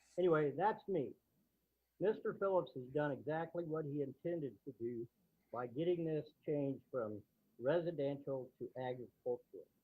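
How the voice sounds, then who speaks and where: This man speaks in a plain, everyday voice at a fairly high pitch, with ordinary pitch variation and a moderate pace. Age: 60s. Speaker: neighbor speaking at public hearing. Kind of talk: public hearing comment.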